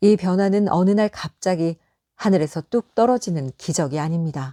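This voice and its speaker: A woman speaks in a dark, mellow, calm tone. The recording is very clean, with a silent background. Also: medium pitch for a woman, ordinary pitch variation, moderate pace, dry, close sound with no echo. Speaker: audiobook narrator. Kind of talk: audiobook reading for sleep. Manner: calm, soft-spoken.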